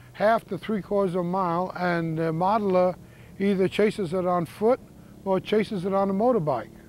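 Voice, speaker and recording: This man's voice is high-pitched and moves at a moderate pace. His pitch varies in an ordinary way. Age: 70s. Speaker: model airplane competitor. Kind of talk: interview.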